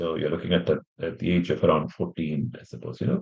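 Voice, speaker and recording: A man's voice with vocal fry. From India. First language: an Indian language (English is his fifth). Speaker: English teacher. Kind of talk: live-stream lesson introduction. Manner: halting, many fillers.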